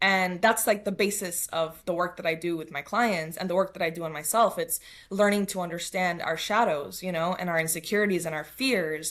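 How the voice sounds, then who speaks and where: A woman with a New York accent, fairly low in pitch, talking at a fairly quick pace with hardly any pauses and fairly even intonation. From New York City (Queens). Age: 30s. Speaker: spiritual coach. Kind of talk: podcast interview.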